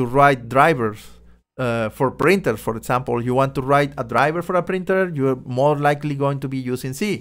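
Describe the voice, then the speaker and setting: On a very clean recording with a silent background, a man speaks at a moderate pace and fairly high pitch. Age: 40s. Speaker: programming podcast host. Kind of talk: solo podcast monologue. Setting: live audio stream. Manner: halting, many fillers.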